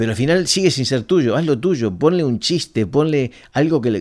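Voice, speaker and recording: With a dark, mellow tone, a man moves at a moderate pace through very wide pitch swings on a very clean recording with a silent background. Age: 50s. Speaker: marketing company founder and CEO. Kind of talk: interview. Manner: halting, many fillers and repetitions.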